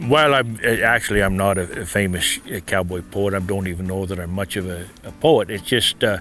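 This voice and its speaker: A man with an American accent at a moderate pace, music in the background. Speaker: cattle rancher and cowboy poet. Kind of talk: interview answer.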